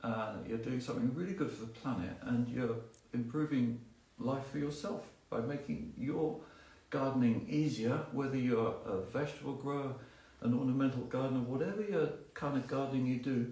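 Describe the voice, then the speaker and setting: A man with a medium-pitched voice and ordinary pitch variation talks amid noticeable background noise and audible room echo. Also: moderate pace. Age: 60s. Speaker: gardening expert. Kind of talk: live Q&A talk. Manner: conversational, many fillers.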